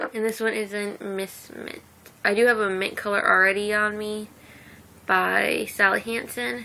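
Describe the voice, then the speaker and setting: Her tone is bright and sharp as the woman speaks. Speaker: vlogger. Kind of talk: casual chat. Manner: chatty, rambling talk.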